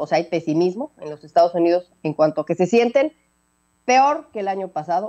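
A woman talks fast with lively intonation in a fairly low voice with a dark, mellow tone.

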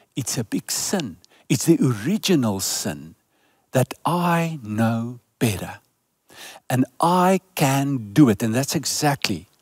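The delivery is very slow, with very wide pitch swings. The sound is dry, with no echo. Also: man. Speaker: preacher. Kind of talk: sermon. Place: stage. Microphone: headset.

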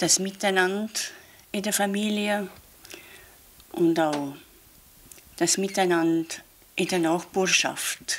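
Speaking at a very slow pace with long, frequent pauses, a woman keeps a fairly even intonation over light background noise. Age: 70s. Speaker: nun; interviewee. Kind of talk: interview. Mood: calm, reflective. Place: home room.

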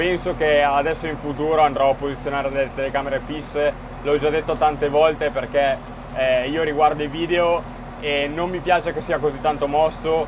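Amid noticeable background noise, a man speaks at a moderate pace in a monotone, flat intonation. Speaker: farmer driving a tractor. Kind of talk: casual vlog chat. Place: farm machine. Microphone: phone near.

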